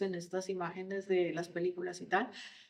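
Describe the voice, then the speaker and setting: There is noticeable background noise behind a woman with a Colombian accent. She speaks at a medium pitch and a moderate pace. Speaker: HR consultant on generational diversity. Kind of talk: podcast interview.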